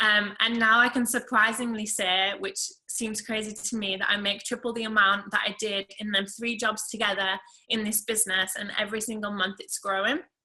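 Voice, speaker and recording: A woman speaks with an English accent in a fairly high pitch and a bright, sharp tone. Her intonation is monotone and flat, her pace moderate. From England. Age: 20s. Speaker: network marketing seller. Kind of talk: testimony.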